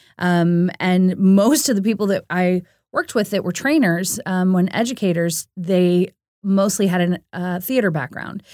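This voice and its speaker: A dark, mellow tone with an American accent moves at a fairly slow pace and ordinary pitch variation. The recording is very clean with a silent background, the sound dry and close with no echo. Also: woman, medium pitch for a woman. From US Midwest, St. Louis, Missouri. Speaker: romance novelist. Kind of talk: interview. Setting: studio.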